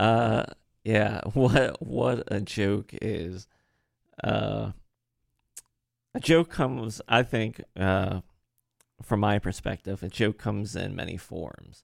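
Very slow and broken by long, frequent pauses, a man with a slight Maryland accent speaks at a fairly low pitch with lively intonation. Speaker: stand-up comedian, podcast guest. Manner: occasionally stutters, mispronounces words.

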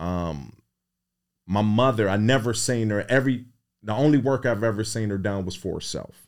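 At a fairly quick pace, a man talks at a fairly low pitch with ordinary pitch variation. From Cleveland, Ohio (Midtown). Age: 50s. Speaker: real estate investor. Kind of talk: interview.

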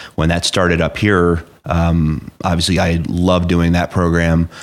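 A man with an American accent, very deep and low in pitch, at a fairly slow pace, on a very clean recording with a silent background. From New Jersey, Hunterdon County. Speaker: rescue squad chief. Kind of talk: interview.

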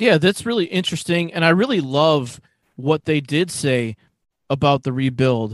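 This man has a normal speaking voice with fairly high pitch and lively intonation. He speaks at a moderate pace, and the sound is dry and close with no echo. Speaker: podcast host. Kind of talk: casual interview.

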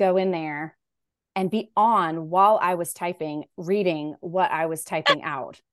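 A woman speaks at a medium pitch with ordinary variation. The background is quiet. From US South, Raleigh, North Carolina. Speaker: novelist. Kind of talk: interview.

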